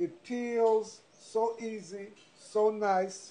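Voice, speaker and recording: The man's voice sits high in pitch for a man, with a dark, mellow tone. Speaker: cooking teacher. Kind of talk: cooking demonstration. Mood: playful, laughing. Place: kitchen.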